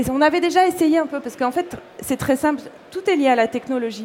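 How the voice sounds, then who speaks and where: Her intonation is lively. A woman talks at a moderate pace. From Corsica. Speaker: fashion blogger and illustrator. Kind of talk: interview.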